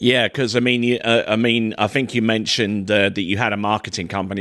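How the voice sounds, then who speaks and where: With a southern English accent, a man speaks in a monotone, flat delivery at a fairly low pitch over a quiet background. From southern England. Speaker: podcast host. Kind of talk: interview. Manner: halting, many repeated words.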